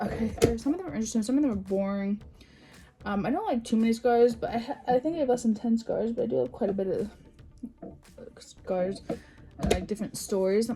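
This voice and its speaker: A woman talks at a fairly quick pace with a fairly high pitch. Noticeable background noise sits behind her. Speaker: YouTuber. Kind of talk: casual storytime vlog. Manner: fast; halting, many fillers and restarts.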